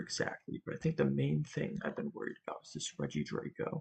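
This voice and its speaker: A man speaks quietly at a moderate pace. The sound is dry and close, with no echo. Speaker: Pokemon draft league player and content creator. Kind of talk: casual solo commentary on team building. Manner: quiet, late-night talking; hesitant, many ums.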